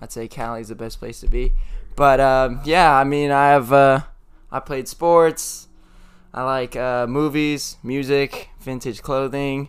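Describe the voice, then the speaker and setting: Very slow and fairly high-pitched, a man speaks with fairly even intonation and big swings in loudness. The recording is very clean, with a silent background. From Sacramento, California. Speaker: theater student and barista. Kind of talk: casual chat. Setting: studio.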